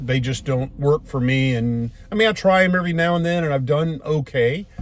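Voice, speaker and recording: Music plays in the background as a man with an American accent talks at a moderate pace. His tone is relaxed, and his pitch varies in an ordinary way. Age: old. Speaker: retired bomb disposal officer turned financial services agent. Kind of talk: casual talk to camera, filmed in car. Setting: recorded inside a moving car. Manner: relaxed, conversational, rambling.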